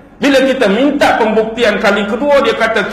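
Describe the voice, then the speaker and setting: Noticeable background noise sits under a man whose pitch is extremely high. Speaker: Islamic preacher (ustaz). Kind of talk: religious lecture (ceramah).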